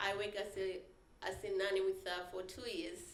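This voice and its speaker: Amid noticeable background noise and audible room echo, a woman talks at a moderate pace. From Malawi. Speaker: trafficking survivor speaker. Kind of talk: testimony.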